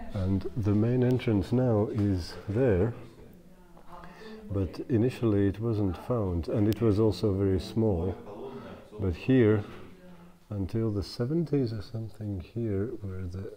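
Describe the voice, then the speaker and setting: A man at a very slow pace with long, frequent pauses, over light background noise. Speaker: cave tour guide. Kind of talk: guided tour explanation. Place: tunnel cave.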